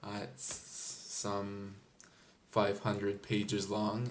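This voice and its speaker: A man's fairly low pitch with audible room echo. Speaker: book reviewer. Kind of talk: casual book review. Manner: hesitant, many fillers.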